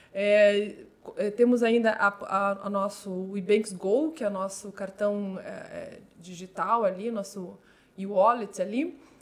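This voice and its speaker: A woman with a medium-pitched voice speaks very slowly, with ordinary variation in pitch. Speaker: compliance and regulatory affairs manager at a fintech. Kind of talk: interview.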